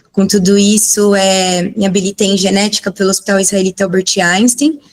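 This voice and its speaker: The woman's voice has a medium pitch. She talks at a moderate pace with fairly even intonation. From São Paulo, Perus district. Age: 50s. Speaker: biomedical scientist and cannabis educator. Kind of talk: talk/presentation with slides. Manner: emotional, close to tears.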